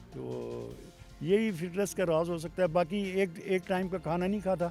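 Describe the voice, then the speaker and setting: With music playing in the background, a man speaks in a high pitch and a flat monotone. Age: 70s. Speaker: motorcycle traveller. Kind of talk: interview answer.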